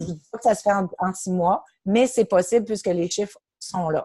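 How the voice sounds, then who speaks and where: Here is a woman with an ordinary speaking voice, talking fairly slowly with ordinary pitch variation. The sound is dry and close with no echo, and the background is quiet. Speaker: network marketing presenter. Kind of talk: sales pitch. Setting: online webinar.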